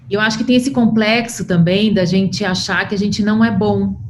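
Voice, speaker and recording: A woman talks at a moderate speed with fairly flat intonation, and noticeable noise can be heard in the background. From Brazil. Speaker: podcast host. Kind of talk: interview conversation.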